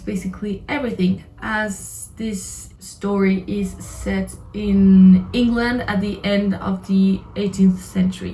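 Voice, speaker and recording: Very slow speech from a woman with a non-native accent, medium pitch and fairly even intonation. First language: not English. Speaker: book reviewer vlogger. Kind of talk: casual video review.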